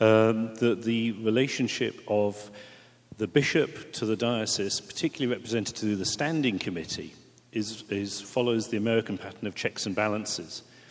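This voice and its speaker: A man speaks in an English accent at a medium pitch. His pace is moderate, with ordinary pitch variation. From England. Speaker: priest. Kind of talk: panel discussion.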